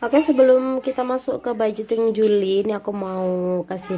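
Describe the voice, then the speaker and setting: A woman talking at a fairly quick pace, with noticeable background noise. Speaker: homemaker vlogger. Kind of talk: tutorial. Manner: casual, chatty.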